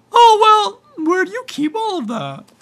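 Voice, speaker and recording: A woman uses a put-on character voice that is squeaky and extremely high-pitched. Her pitch swings very widely while she keeps a moderate pace. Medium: read story. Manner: meek.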